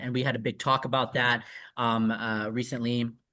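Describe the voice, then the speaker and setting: With an American accent, a man of medium pitch speaks at a moderate pace in a bright, sharp tone over a quiet background. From Southeast Michigan. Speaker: marriage and family therapist. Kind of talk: interview answer.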